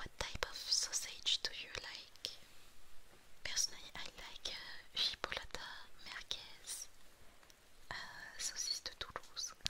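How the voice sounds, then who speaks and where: The speaker whispers fairly slowly, pausing often and at length. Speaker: streamer. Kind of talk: casual stream chat with viewers. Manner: soft, close ASMR-style voice.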